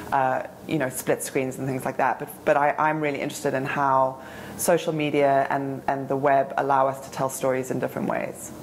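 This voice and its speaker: A woman speaks at a fairly quick pace in a very deep, low pitch with monotone, flat intonation. Noticeable background noise runs underneath. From South Africa. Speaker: film institute digital director. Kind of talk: interview answer.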